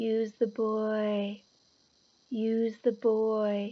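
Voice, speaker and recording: A woman puts on a character voice at a fairly high pitch with monotone, flat intonation. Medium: read story.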